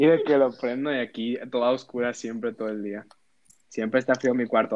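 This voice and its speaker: Speaking fairly quickly with a Mexican accent, a man uses a medium pitch and lively intonation. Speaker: podcast co-host, student. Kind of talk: casual chat.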